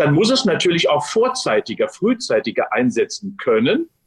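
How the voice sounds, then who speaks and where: Energetic in tone, a man speaks at a moderate pace in a dry, close sound with no echo. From Westphalia, Germany (Unna). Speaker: sports science professor. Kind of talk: interview. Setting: video call.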